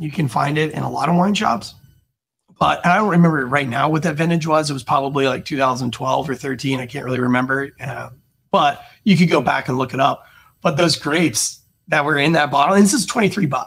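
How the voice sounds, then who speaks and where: Ordinary pitch variation and a moderate pace define the speech. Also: man, fairly high pitch for a man. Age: 40s. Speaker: sommelier and podcast host. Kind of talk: casual chat. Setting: studio. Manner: animated. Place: home room. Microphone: studio mic.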